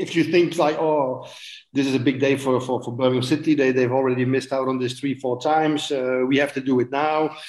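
At a fairly quick pace, a man talks at medium pitch with monotone, flat intonation. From Belgium. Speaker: former football goalkeeper. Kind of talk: interview. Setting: video call. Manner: halting.

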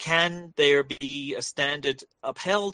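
His tone is bright and sharp, with ordinary pitch variation. A man speaks with an English accent. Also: dry, close sound with no echo. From England. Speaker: political science instructor and author. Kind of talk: interview.

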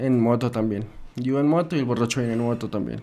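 A man with an ordinary speaking voice talks at a fairly quick pace and medium pitch, his intonation fairly even. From Bogotá, Colombia. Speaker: music producer and guitarist. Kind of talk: interview conversation.

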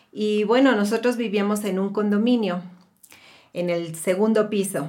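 Her pitch is fairly high and varies in an ordinary way. This woman uses a normal speaking voice. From Mexico. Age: 50s. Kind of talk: casual chat.

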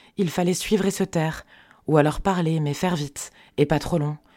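A woman speaks with a very deep, low pitch and a dark, mellow tone in a very clean recording with a silent background. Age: 40s. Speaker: podcast creator. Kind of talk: personal narration.

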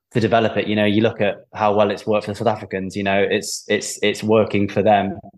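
A man with an English accent talks at a very fast clip in a fairly low, flat monotone. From England. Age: 20s. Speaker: professional rugby player. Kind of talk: casual interview chat.

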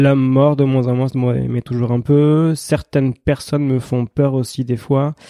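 Dark and mellow in tone, the voice moves at a fairly slow pace with flat, monotone intonation, hardly any pauses, and a dry, close sound with no echo. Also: man, medium pitch for a man. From Gironde, south-west France. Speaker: sports psychologist. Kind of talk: interview.

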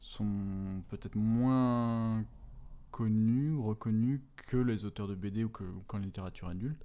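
Very slowly, a man speaks with a dark, mellow tone. His pitch is medium and his intonation fairly even. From France, moved often, roots in Brittany. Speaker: children's book author and illustrator. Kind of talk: interview. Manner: halting, many fillers.

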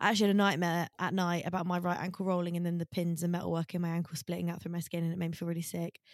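In a British accent, the speaker races along at a very fast pace with monotone, flat intonation, heard in a dry, close sound with no echo. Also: woman, fairly low pitch for a woman. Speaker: podcast co-host. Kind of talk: casual chat.

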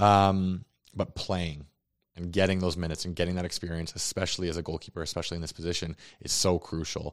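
Speaking at a very fast pace, a man with a Canadian accent has a very deep, low pitch and monotone, flat intonation, on a very clean recording with a silent background. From Calgary, Canada. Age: 20s. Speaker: soccer goalkeeper. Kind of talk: casual interview. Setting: studio.

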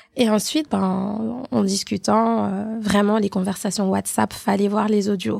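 Speaking at a very slow pace with hardly any pauses, a woman holds a medium pitch and very even loudness. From Haitian family. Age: 30s. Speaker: podcast co-host. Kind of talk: casual chat. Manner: talkative, animated.

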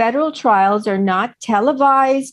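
Lively intonation marks this woman's voice over a quiet background. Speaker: author and Maxwell trial commentator. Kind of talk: interview commentary.

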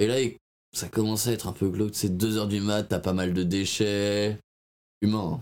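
The delivery is fairly slow, with long, frequent pauses. Intonation stays monotone and flat. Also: man, fairly low pitch for a man. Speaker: podcast co-host. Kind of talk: casual chat.

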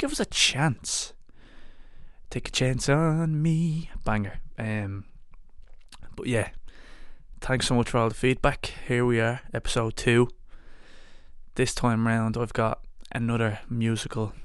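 With an Irish accent, a man speaks with ordinary pitch variation and long, frequent pauses. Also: medium pitch for a man. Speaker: podcast host. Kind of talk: casual chat. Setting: at guest's home. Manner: animated.

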